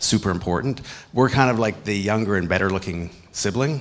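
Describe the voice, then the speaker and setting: Over noticeable background noise, a man with a Canadian accent talks at a fairly quick pace and a fairly low pitch. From Canada. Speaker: clean tech company CEO. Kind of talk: panel discussion.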